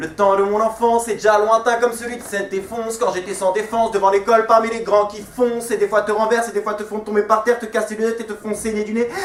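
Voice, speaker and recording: Over noticeable background noise, a high-voiced man talks very fast in a flat monotone, hardly pausing at all. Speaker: slam poet. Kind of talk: slam poetry performance. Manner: rhythmic, flowing.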